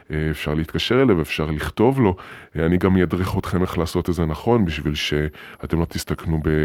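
A man at a fairly quick pace, very deep and low in pitch, with ordinary pitch variation. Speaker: podcast host. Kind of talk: casual monologue. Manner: hesitant, many fillers.

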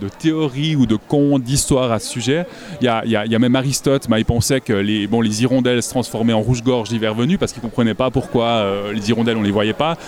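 Against noticeable background noise, a man at a medium pitch talks at a very fast pace with hardly any pauses. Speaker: naturalist and illustrator. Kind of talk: casual interview. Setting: festival with crowd noise.

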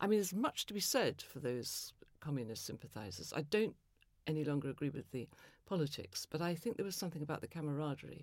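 Very fast speech from a woman with a very deep, low voice. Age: 70s. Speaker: novelist and former psychoanalyst. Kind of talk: interview conversation.

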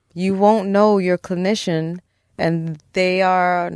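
An unremarkable speaking voice with an American accent and fairly even intonation sounds dry and close with no echo against a quiet background. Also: woman. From Brooklyn, New York (Park Slope). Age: 40s. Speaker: psychologist. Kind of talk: therapy-style interview. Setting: studio.

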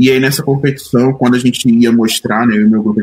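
This man's voice sits at a medium pitch. He speaks at a fairly quick pace. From Rio de Janeiro periphery, Duque de Caxias. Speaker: designer. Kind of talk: casual chat.

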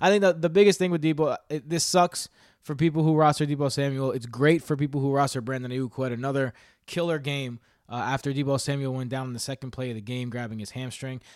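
Speaking very fast with an American accent, a man has a fairly high pitch and ordinary pitch variation on a very clean recording with a silent background. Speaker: fantasy football podcast host. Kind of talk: casual chat. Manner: animated.

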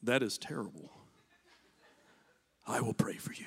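Whispering in a put-on character voice, a man speaks at a moderate pace. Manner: compassionate, sweetly pious.

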